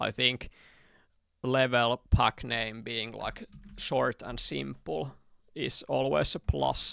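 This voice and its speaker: With a Finnish accent, a man talks at a fairly slow pace in a very deep, low pitch with vocal fry and very wide pitch swings, the sound dry and close with no echo. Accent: Finnish accent, unmasked. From Finland. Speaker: gaming streamer. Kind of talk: live stream chat while working. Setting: live stream with chat. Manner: casual, halting with repetitions.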